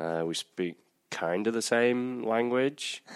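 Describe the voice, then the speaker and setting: On a very clean recording with a silent background, a man with an American accent speaks at a fairly slow pace with ordinary pitch variation. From northwest England, Chorley near Manchester. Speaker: college soccer coach. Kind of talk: casual interview. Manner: hesitant, many fillers.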